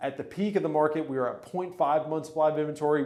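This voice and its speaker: Speaking very fast in an upbeat tone, a man uses a fairly high pitch. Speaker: real estate agent. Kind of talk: market update video. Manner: casual, upbeat.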